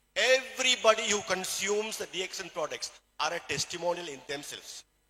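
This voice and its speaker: With a Keralan accent, a man speaks at a fairly quick pace and high pitch, his intonation lively and his loudness swinging widely. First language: Malayalam. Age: 60s. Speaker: plastic surgeon and supplement distributor. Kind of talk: motivational talk.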